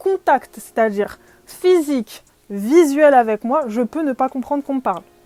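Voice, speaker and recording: Music plays in the background as a woman speaks at a high pitch with lively intonation. The sound is dry and close, with no echo. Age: 20s. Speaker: podcaster. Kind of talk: casual chat. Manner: hesitant, many fillers.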